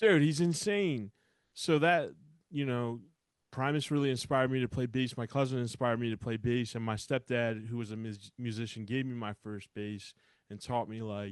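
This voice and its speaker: Over a quiet background, a man speaks at medium pitch and a moderate pace with ordinary pitch variation. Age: 30s. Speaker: hardcore band musician. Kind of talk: casual interview. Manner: animated.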